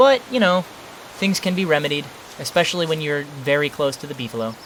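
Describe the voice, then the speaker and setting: The pace is very fast. Background noise is noticeable. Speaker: gaming YouTuber. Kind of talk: gameplay commentary. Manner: casual.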